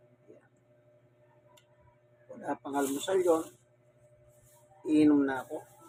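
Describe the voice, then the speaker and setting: Through noticeable background noise, a man with a fairly high pitch speaks with fairly even intonation. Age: 60s. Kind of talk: casual talk to camera.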